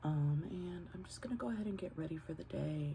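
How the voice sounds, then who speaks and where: At a moderate pace, a woman speaks quietly over noticeable background noise. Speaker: vlogger. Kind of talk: casual vlog talk. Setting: at home. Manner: quiet, keeping voice down.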